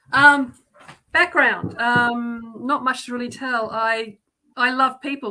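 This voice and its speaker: With an Australian accent, a woman speaks at a fairly slow pace in a fairly high pitch and a bright, sharp tone. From Australia, Melbourne. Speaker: guest. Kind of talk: casual chat. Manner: halting, many fillers.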